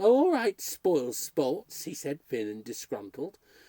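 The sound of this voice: A reading voice, unforced.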